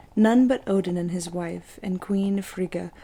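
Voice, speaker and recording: The speaker has a calm tone and talks quietly at a moderate pace. Intonation stays fairly even. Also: woman. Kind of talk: ASMR mythology reading. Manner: quiet, calm.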